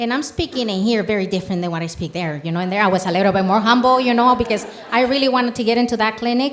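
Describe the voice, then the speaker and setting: A woman with a Mexican accent talks very fast in an animated tone, her pitch fairly high and her intonation lively. Noticeable background noise runs under her voice. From Mexico, Michoacán. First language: Spanish. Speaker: community health program leader. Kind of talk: panel discussion.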